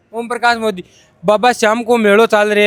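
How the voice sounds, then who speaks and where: A man with a Rajasthani accent speaks at a moderate pace in a high voice. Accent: Rajasthani-accented Hindi. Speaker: reporter. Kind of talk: field interview.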